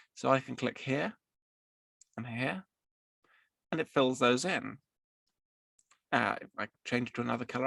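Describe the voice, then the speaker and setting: Soft-spoken and at medium pitch, this man uses ordinary pitch variation and vocal fry, with long, frequent pauses, big swings in loudness, and a dry, close sound with no echo. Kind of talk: software tutorial narration. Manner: slow.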